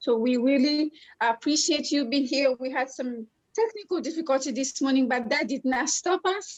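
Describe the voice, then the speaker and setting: With a French accent, a woman speaks at a high pitch with ordinary pitch variation. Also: moderate pace. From Congo. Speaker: life coach and co-host. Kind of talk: online conference talk.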